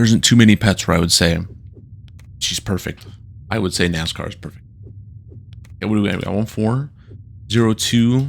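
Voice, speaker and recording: A man at a fairly quick pace, with ordinary pitch variation and long, frequent pauses. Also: fairly low pitch for a man. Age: 30s. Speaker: gaming YouTuber. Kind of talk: casual let's play commentary. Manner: casual, rambling.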